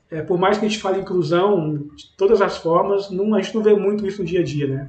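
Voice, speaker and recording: In a room with audible echo, a man with a high voice speaks at a fairly quick pace and fairly even intonation. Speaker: podcast host. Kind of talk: podcast interview.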